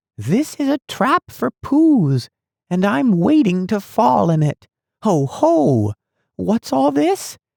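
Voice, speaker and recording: A squeaky, put-on character voice moves very slowly through very wide pitch swings at very even loudness. The sound is dry and close, with no echo. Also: man, high pitch for a man. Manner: unsettled.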